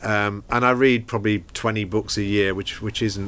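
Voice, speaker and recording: Speaking at a moderate pace, a man has a fairly low pitch and fairly even intonation. It is a normal speaking voice. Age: 60s. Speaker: podcast host and bookshop owner. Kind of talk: interview. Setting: bookshop.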